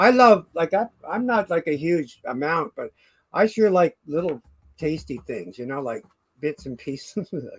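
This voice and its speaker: A man at a high pitch and a fairly slow pace, with very wide pitch swings, big swings in loudness, and a dry, close sound with no echo. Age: 60s. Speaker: live stream host. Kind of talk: casual chat. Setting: live stream.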